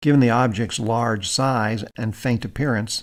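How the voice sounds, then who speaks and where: In a very clean recording with a silent background, a man with vocal fry talks at a moderate pace and medium pitch with ordinary pitch variation. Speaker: space documentary narrator. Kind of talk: science documentary narration.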